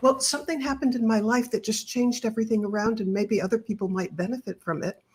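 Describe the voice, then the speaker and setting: Fairly high in pitch with ordinary pitch variation, a woman talks at a very fast pace over noticeable background noise. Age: 70s. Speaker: author. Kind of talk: interview.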